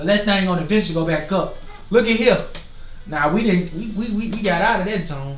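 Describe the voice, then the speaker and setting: Over noticeable background noise and audible room echo, a man with a high pitch talks in an animated tone at a fairly quick pace with ordinary pitch variation. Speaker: forex trading streamer. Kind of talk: live market commentary. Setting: livestream. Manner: loud.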